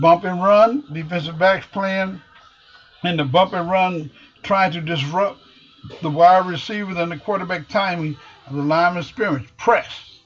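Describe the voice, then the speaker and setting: Over noticeable background noise, a man with an American accent talks at a moderate pace, using a high pitch and ordinary pitch variation. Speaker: football coach. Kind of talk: tutorial.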